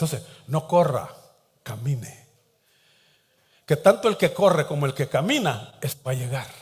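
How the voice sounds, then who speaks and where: A somewhat breathy man's voice, fairly high in pitch, at a fairly slow pace, with lively intonation and long, frequent pauses. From Latin America, coastal port town. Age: 60s. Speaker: pastor. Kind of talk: sermon.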